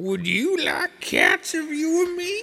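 This is a put-on character voice, shrill and extremely high in pitch. It moves at a fairly slow pace. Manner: passionate, indignant.

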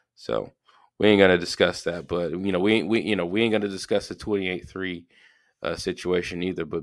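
This man has a very deep, low voice and a Southern US accent, and he talks at a fairly quick pace. The recording is very clean, with a silent background. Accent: Southern US (Georgia). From US South, Georgia. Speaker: podcast host. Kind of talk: casual solo monologue. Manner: casual, filler-heavy.

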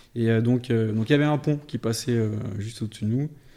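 The voice has a dark, mellow tone, fairly even intonation and a fairly quick pace, on a very clean recording with a silent background. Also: man. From Paris and Vendée, France. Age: 30s. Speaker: carp angler and shop owner. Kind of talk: casual chat.

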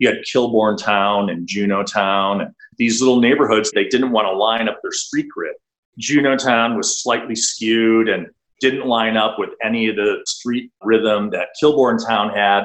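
An American-accented man talks at a fairly slow pace in an unremarkable speaking voice. His medium pitch keeps fairly even intonation. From US Midwest, Milwaukee, Wisconsin. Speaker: architect. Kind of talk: interview conversation.

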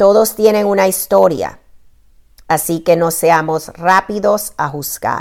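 Very slowly, a woman talks at a medium pitch. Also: ordinary pitch variation. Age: 50s. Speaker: blogger and life coach. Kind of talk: reading aloud.

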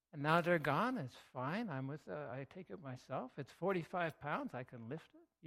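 At a moderate pace, a man talks in a normal speaking voice, his pitch fairly high and his intonation lively. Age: 50s. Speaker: pastor. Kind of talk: sermon.

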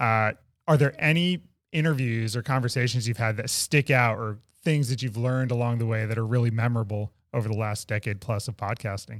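Heard on a very clean recording with a silent background, a man with a normal speaking voice talks fairly quickly at a medium pitch, with ordinary pitch variation. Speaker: podcast co-host. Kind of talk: casual interview conversation. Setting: in-person studio recording.

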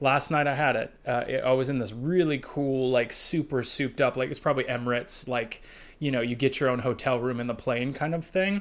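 On a very clean recording with a silent background, a man in an ordinary speaking voice talks at a moderate pace with ordinary pitch variation. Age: 30s. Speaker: church consultant. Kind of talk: casual chat.

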